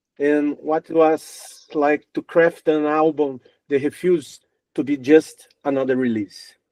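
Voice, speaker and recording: A man's fairly high, dark, mellow voice in a Brazilian accent, at a fairly slow pace with fairly even intonation, in a dry, close sound with no echo. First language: Portuguese. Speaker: music interviewer. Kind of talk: interview. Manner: halting.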